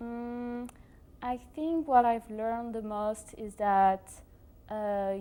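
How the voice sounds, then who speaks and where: A woman with a strong French accent, fairly high in pitch, speaking at a very slow pace with fairly even intonation. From France. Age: 20s. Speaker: exchange student. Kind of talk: interview. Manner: hesitant, many fillers.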